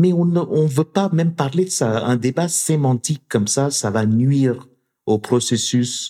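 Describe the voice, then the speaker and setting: On a very clean recording with a silent background, a man in a dark, mellow tone speaks at a very slow pace with very wide pitch swings. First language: not French (speaking French). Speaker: university professor and researcher. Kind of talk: interview conversation. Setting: studio in Montreal. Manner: halting with frequent repetitions.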